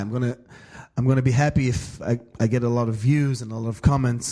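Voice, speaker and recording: Talking at a very fast pace with an Israeli accent, a man has a medium-pitched voice with a dark, mellow tone. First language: Hebrew. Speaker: bass player and podcast host. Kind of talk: solo podcast monologue. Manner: halting.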